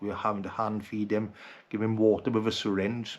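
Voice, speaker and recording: A man with a Welsh accent, fairly low in pitch, at a fairly quick pace with monotone, flat intonation. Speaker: outdoor vlogger. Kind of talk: personal video message. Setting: at home at night.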